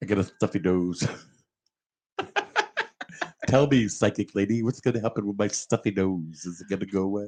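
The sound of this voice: A put-on, nasal character voice from a man, fairly low in pitch and fairly even in intonation, at a moderate pace with long, frequent pauses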